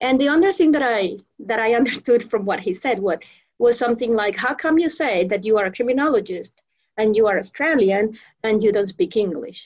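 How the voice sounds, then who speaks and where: A woman speaks with a Spanish accent at a fairly quick pace. Her fairly high voice has lively intonation. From Venezuela. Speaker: professional trainer and association founder. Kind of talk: interview. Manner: halting, many repetitions.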